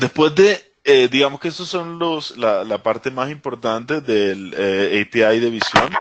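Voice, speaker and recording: A man with a Caribbean accent speaks at medium pitch with lively intonation. His pace is fairly slow, with hardly any pauses. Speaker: technology presenter. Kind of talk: webinar tutorial. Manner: hesitant, many fillers.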